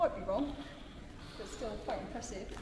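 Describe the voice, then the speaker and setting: A woman talks at a very fast pace. Noticeable background noise runs behind her. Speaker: presenter. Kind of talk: casual vlog chat. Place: hall.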